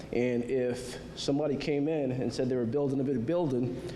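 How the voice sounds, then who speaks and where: Amid noticeable background noise and audible room echo, a man with an American accent talks at medium pitch with ordinary pitch variation. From Groton, Connecticut. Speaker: city councilor. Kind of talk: public meeting statement. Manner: mumbling; halting, many fillers.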